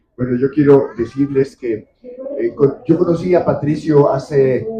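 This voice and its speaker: This man's voice is fairly high-pitched, somewhat breathy and dark and mellow in tone, moving at a fairly slow pace. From Mexico. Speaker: editor and writer. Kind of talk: book presentation talk.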